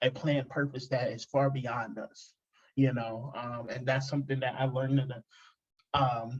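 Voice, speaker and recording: A man at medium pitch, somewhat breathy, with monotone, flat intonation and a moderate pace. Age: 20s. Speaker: podcast host. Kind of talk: casual interview chat. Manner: halting, many fillers and repeats.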